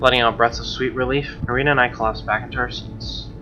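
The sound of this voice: A man speaks fast at a medium pitch. His intonation stays fairly even.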